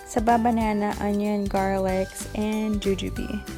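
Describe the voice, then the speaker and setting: A woman speaks with music in the background. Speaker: food vlogger. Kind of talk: cooking video narration.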